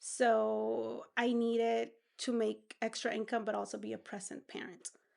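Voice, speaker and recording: A woman speaks with a Spanish accent at a moderate pace. The background is quiet. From Peru. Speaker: entrepreneur. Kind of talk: interview.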